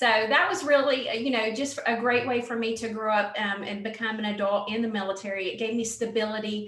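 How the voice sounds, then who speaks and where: Speaking very fast in a Southern accent, a woman with a fairly high pitch is heard amid noticeable background noise and audible room echo. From US South, western North Carolina mountains. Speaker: Air Force veteran, nonprofit founder. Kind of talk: interview.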